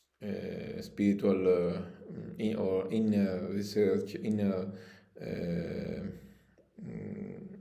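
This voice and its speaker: A man speaks very slowly, with long, frequent pauses and audible echo in the room. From Italy. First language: Italian. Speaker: spiritual coach and shamanic practitioner. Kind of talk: promotional video appeal. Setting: his holistic studio. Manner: halting, many fillers.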